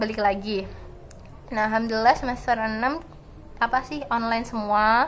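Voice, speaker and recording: This woman's pitch is fairly high and her intonation fairly even. At a moderate pace, she leaves long, frequent pauses. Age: 20s. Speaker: student vlogger. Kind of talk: casual vlog storytelling.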